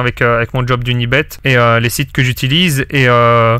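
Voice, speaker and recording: A man with a Belgian accent talks at medium pitch in a bright, sharp tone with monotone, flat intonation. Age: 20s. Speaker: sports betting consultant. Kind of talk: podcast interview answer. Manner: casual, hesitant.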